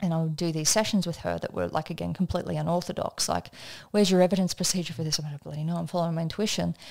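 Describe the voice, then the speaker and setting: A woman with an Australian accent speaks at a very fast pace. The recording is very clean, with a silent background. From Australia (country area). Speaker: energetics trainer and business coach. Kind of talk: podcast interview, personal story. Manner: casual, conversational.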